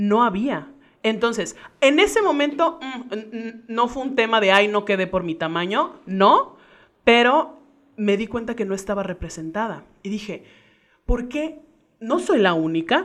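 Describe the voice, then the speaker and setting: A woman with a fairly high voice swings very widely in pitch and leaves long, frequent pauses. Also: fairly slow pace. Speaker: actress, singer and vocal coach. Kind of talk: casual chat. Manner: cheerful, joyful tone; commanding, well-articulated speech.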